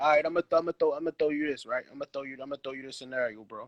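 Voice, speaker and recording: Speaking very fast, a man has an American accent. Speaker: dog breeder and live show host. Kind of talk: casual chat. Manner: stammering, repeats words.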